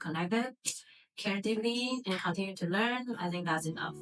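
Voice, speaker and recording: A woman speaks with a Mandarin accent and ordinary pitch variation. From Vietnam. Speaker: interviewee in documentary. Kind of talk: interview.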